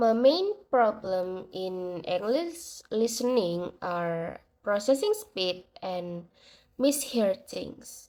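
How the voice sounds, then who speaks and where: A woman's fairly high voice at a very slow pace with lively intonation, on a very clean recording with a silent background. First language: not English. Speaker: university student. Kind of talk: class assignment reflection monologue. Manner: hesitant, with fillers.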